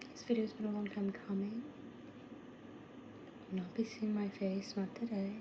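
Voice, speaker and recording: A woman whispers softly, her loudness swinging widely, with long, frequent pauses and noticeable background noise behind her. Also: moderate pace. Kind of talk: ASMR lo-fi rambles, casual talk to camera. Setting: lo-fi home recording. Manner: soft-spoken, whispered.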